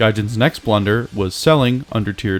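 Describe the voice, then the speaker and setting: With music in the background, a man talks fairly quickly at a fairly low pitch with ordinary pitch variation. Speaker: gaming YouTuber. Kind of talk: game commentary narration.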